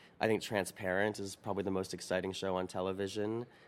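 A very deep, low-pitched man's voice with monotone, flat intonation, on a very clean recording with a silent background. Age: 30s. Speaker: opera and film director. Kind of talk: interview. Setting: opera house balcony.

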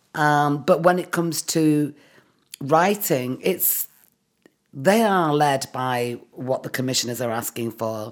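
A woman with a Mancunian accent speaks at a very slow pace. Her pitch is very deep and low, with lively intonation. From Manchester, England. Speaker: writer and director. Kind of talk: casual interview chat.

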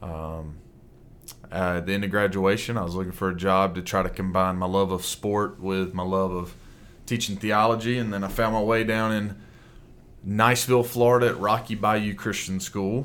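A man speaks at a moderate pace in a fairly low voice with fairly even intonation. Room echo is audible. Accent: Alabama. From Alabama, US South. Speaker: Bible teacher and coach. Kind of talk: interview conversation.

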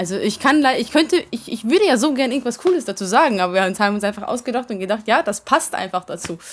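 A woman at a very fast pace with hardly any pauses, a fairly high pitch, and very wide pitch swings. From Vienna, Austria, then Hungary. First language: Hungarian (speaking German). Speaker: rock band singer. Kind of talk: interview. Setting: backstage at concert venue.

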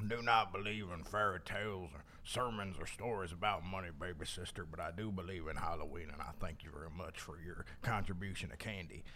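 A gruff, put-on character voice moves at a fairly quick pace with hardly any pauses. Clear background noise sits behind it. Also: man, very deep, low pitch for a man.

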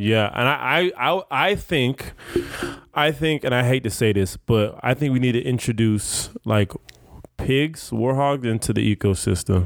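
A plain, everyday voice from a man, medium in pitch, fairly slow, with lively intonation and very even loudness. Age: 30s. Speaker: podcast host. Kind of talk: casual interview chat. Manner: casual, profane, laid-back.

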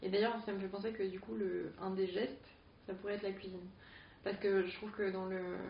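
Against noticeable background noise, a woman talks fairly quickly at medium pitch with fairly even intonation. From rural Picardy, France. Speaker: artist and educator. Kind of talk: casual interview.

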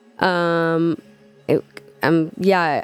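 A woman's voice sits fairly low in pitch while music plays behind her. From Israel. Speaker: DJ and producer. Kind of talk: radio DJ interview chat. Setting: radio studio interview. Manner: casual, chatty, laughing.

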